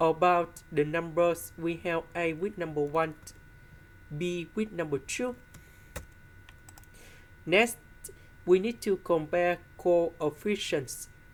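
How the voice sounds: Slow and fairly low for a woman, her voice shows ordinary pitch variation and long, frequent pauses.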